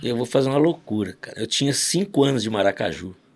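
A man has a normal speaking voice at a fairly high pitch. He talks at a fairly quick pace with lively intonation. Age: 60s. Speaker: father of a podcast host, church musician. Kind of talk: casual chat with storytelling.

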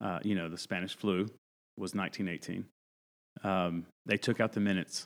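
A man's very deep, low voice with an American accent, fairly quick pace, long, frequent pauses and fairly even intonation, on a very clean recording with a silent background. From North Carolina mountains, US South. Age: 40s. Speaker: pastor. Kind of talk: casual chat.

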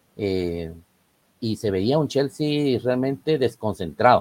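The sound is dry and close, with no echo. A man speaks at a medium pitch in a dark, mellow tone. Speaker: football pundit. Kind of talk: casual chat.

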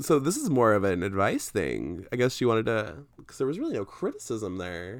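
A man at a medium pitch talks at a fairly quick pace with hardly any pauses and some vocal fry. His intonation is lively and his loudness swings widely. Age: 20s. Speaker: podcast co-host. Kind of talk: casual chat.

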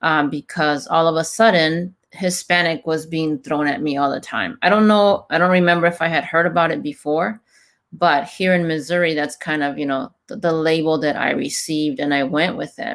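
In a very clean recording with a silent background, a woman with a fairly low pitch and an ordinary speaking voice talks at a moderate pace with ordinary pitch variation. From Mexico, raised in California Bay Area. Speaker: podcast host. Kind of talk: casual podcast conversation.

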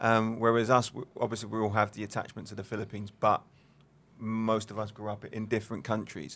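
On a very clean recording with a silent background, a man speaks at a fairly low pitch. His pace is fairly quick and his intonation monotone and flat. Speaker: podcast co-host and former coach. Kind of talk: casual interview.

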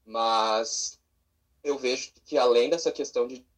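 Flat, monotone intonation runs through this man's speech. His pitch sits in the medium range. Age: 20s. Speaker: drag performer. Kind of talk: casual chat. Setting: video call.

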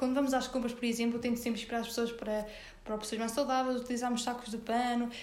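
A woman's high voice in a northern Portuguese accent, very fast and monotone with flat intonation and very even loudness, over noticeable background noise and audible room echo. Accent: European Portuguese, northern interior. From Portugal, Sernancelha (Viseu district, interior north). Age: 20s. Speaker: young entrepreneur, marketing worker. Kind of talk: casual interview. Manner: halting, many fillers and repetitions.

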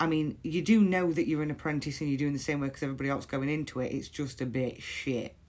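The delivery is very fast with hardly any pauses and ordinary pitch variation. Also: woman, very deep, low pitch for a woman. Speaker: podcast host. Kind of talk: solo personal monologue. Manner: blunt.

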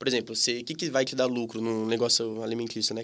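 The recording is very clean and the background silent. A man talks at a fairly quick pace. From Brazil, Campinas (São Paulo state). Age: 20s. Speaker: tapioca shop owner. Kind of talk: casual interview. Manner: hesitant, many fillers.

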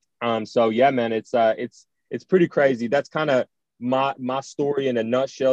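The man has a normal speaking voice at medium pitch, with fairly even intonation and a moderate pace. The sound is dry and close, with no echo. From US South, rural North Georgia. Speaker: football prospect, athlete. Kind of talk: interview.

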